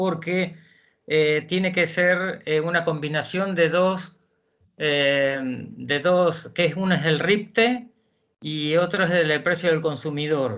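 Someone speaks at a very slow pace in a Rioplatense accent. The background is quiet. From Argentina, Buenos Aires province. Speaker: justice of the peace court clerk. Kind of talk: audience question. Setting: video call. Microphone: video call.

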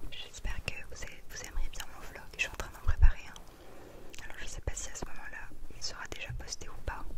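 A woman is whispering. Her loudness swings widely from moment to moment. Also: moderate pace. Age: 20s. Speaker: ASMR creator. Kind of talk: ASMR personal attention. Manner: whispered, soft-spoken. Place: home room. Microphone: studio mic.

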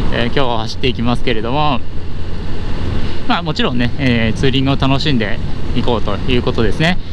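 Noticeable background noise sits under a man's voice, which sounds dry with no echo. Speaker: motovlogger rider. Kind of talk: casual vlog chat. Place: motorbike. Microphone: helmet.

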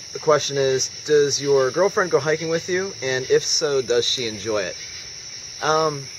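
A man's fairly slow speech with ordinary pitch variation over noticeable background noise. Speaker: backpacker vlogger. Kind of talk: casual vlog chat, Q&A answers. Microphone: phone near.

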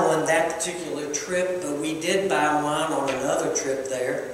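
In a room with strong echo and light background noise, a man speaks high-pitched at a moderate pace with ordinary pitch variation. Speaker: preacher. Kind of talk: sermon. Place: church.

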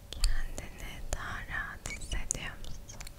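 A soft-spoken woman talks against loud background noise. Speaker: ASMR creator. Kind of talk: soft ASMR talk to viewer. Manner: soft, hushed ASMR murmur. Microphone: studio mic.

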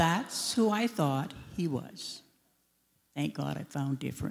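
A woman speaks at a very slow pace with vocal fry. Her pitch swings very widely. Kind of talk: personal testimony talk. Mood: warm reminiscing. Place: church. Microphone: handheld.

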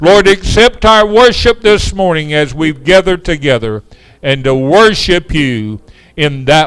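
A man's fairly slow speech comes through with a quiet background behind it. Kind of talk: sermon and prayer. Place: church.

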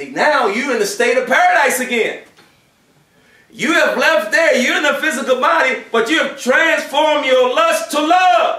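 The voice is raised and projected, with ordinary pitch variation at a moderate pace. Audible room echo fills the space against a quiet background. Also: man, extremely high pitch for a man. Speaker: preacher. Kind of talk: Friday sermon (khutbah). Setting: mosque during Friday prayer. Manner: animated, conversational preaching with rhetorical questions; earnest, exhortative. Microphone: camera far.

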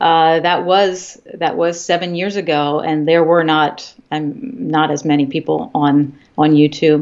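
A woman's fairly low voice at a very slow pace, quiet background. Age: 50s. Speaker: health and fitness YouTuber, former college instructor; fitness YouTuber, former college instructor. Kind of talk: interview. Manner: halting, frequent fillers and repetitions. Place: home room. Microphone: video call.

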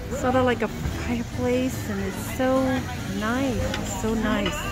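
Very slow speech over clear music in the background. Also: woman. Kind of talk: casual vlog narration. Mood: relaxed, pleased. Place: street. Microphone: phone near.

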